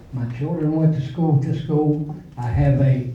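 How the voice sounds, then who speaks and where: The speaker has an Appalachian accent, heard over noticeable background noise. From West Virginia, Nicholas County. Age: 70s. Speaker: parent speaking at public hearing. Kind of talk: public comment at hearing. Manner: halting, with fillers and repetitions.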